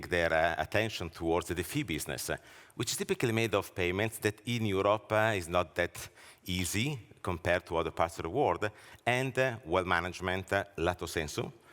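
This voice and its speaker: In a very clean recording with a silent background, a man with an Italian accent talks at a fairly quick pace in a very deep, low pitch with ordinary pitch variation. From Italy. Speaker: banking research leader and author. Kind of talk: conference presentation. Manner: hesitant, frequent filler words.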